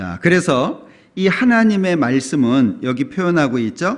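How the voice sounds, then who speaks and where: A man talks at a very slow pace with very wide pitch swings. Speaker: pastor. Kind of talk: sermon.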